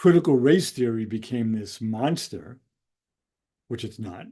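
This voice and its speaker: A man talks with an American accent at medium pitch and a moderate pace. His tone is dark and mellow, his intonation lively, and the background quiet. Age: 70s. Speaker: educator and author. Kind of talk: educational monologue. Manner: hesitant, many fillers.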